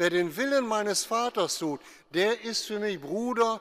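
Against a quiet background, a man with a warm tone and high pitch talks at a very slow pace. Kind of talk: sermon, homily to a congregation, explaining the Gospel. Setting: church. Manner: formal, calm, didactic; earnest, warm direct address to the congregation. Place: church. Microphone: podium.

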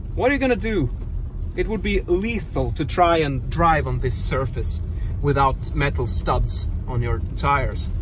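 Fairly slowly, a man talks in a dry sound with no echo, with noticeable background noise behind him. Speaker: driver vlogger. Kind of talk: casual vlog chat. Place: car. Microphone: phone near.

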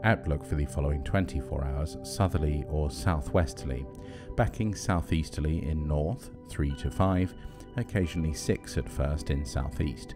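A man speaks in a soothing, calm tone with a very deep, low pitch and ordinary pitch variation. His pace is moderate, with music playing in the background. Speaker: ex-professional marine radio operator. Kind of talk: shipping forecast reading, sleep aid. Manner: soothing, calm, measured.

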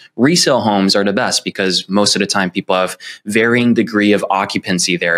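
A man with an American accent speaks in an ordinary speaking voice, his pitch fairly low, against a quiet background. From San Francisco, California. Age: 30s. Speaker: real estate agent. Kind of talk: interview. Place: home room. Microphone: earbuds.

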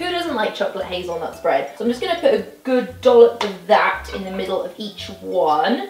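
A woman at a fairly quick pace with hardly any pauses, big swings in loudness, audible room echo and faint background music. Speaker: presenter. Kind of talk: tutorial. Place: kitchen.

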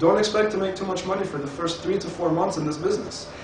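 Very fast and upbeat, a man talks with ordinary pitch variation. The room echo is audible, and background noise is noticeable. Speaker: network marketing presenter. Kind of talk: sales pitch. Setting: presentation to an audience. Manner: persuasive, upbeat; reassuring, explanatory. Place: home room. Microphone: camera far.

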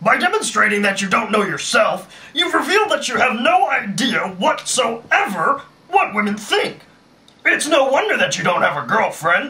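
This is a cartoonish character voice. The pitch swings very widely. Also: man, extremely high pitch for a man, moderate pace. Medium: puppet show. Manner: pompous, lecturing.

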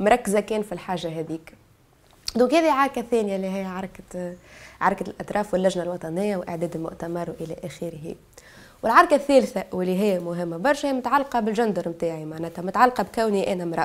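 A woman talks at a fairly quick pace with a medium pitch. Her intonation is lively, and her loudness swings widely. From Tunisia, Bizerte; Tunisia. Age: 20s. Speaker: activist; guest. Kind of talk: testimony. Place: studio.

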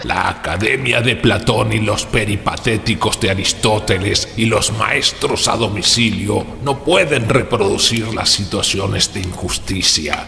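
A fairly low-pitched man at a fairly slow pace, with clear background noise. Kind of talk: solemn public oration. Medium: audio drama. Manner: impassioned, preaching.

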